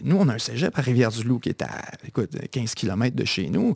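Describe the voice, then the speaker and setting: Speaking in a Quebec accent, a man uses a medium pitch and lively intonation, with vocal fry. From Quebec, Bas-Saint-Laurent (Kamouraska). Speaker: media founder. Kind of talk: interview conversation.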